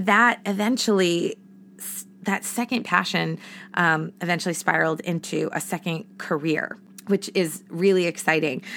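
An animated woman with an American accent speaks at a moderate pace in a fairly low, bright, sharp voice, with ordinary pitch variation and big swings in loudness. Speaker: podcast host, entrepreneur and former actress. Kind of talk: casual solo podcast monologue. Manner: animated, talkative.

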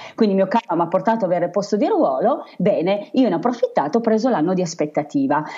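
Talking at a very fast pace with hardly any pauses, a woman holds a medium pitch that swings very widely. Her loudness stays very even over noticeable background noise. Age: 40s. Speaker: travel blogger and former teacher. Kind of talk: interview.

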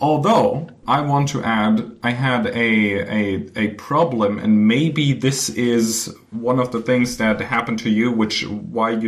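Speaking at a medium pitch with ordinary pitch variation, a man takes a fairly slow pace. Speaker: podcast co-host. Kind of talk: casual chat. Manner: halting, rambling.

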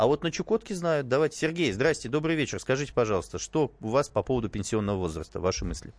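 Against a quiet background, a man of medium pitch talks at a very fast pace with hardly any pauses. His pitch swings very widely, and there is vocal fry in his voice. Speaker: radio host. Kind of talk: talk radio discussion. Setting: studio.

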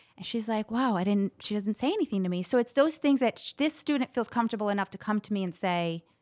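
Delivered at a fairly quick pace with lively intonation, the speech comes through on a very clean recording with a silent background. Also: woman. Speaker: ESL teacher. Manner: fast talker.

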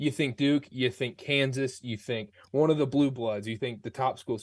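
A man with an American accent speaks at a moderate pace and medium pitch in an unremarkable speaking voice. The background is quiet. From North Carolina. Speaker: sports podcaster. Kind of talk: interview.

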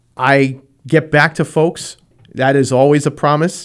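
A man with a New England accent on a very clean recording against a silent background. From Rhode Island. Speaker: school committee member and candidate. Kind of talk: radio interview.

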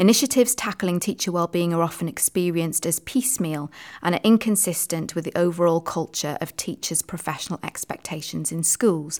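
Fairly quick speech in a British accent with hardly any pauses and ordinary pitch variation, dry and close with no echo, on a very clean recording with a silent background. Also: woman, fairly low pitch for a woman. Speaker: teacher and education podcast host. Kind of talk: casual chat.

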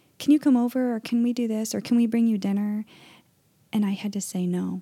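This soft-spoken voice has a dark, mellow tone, ordinary pitch variation and a fairly quick pace, with a dry, close sound and no echo. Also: woman. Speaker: podcast host. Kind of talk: casual chat. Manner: quiet and soft-spoken.

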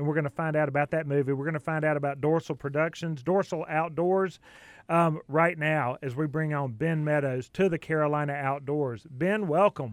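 Fairly even intonation marks a man with a Southern US accent who speaks at a moderate pace and a fairly high pitch. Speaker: radio host. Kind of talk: radio interview.

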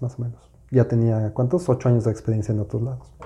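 A man's dark, mellow voice sits at a medium pitch and sounds somewhat breathy. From Mexico City. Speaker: podcast co-host, business coach. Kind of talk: casual chat.

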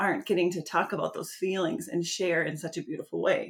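An unremarkable speaking voice comes from a woman with an American accent, pitched at a medium level. She talks at a moderate pace with ordinary pitch variation. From US Midwest. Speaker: podcast host. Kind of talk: casual interview.

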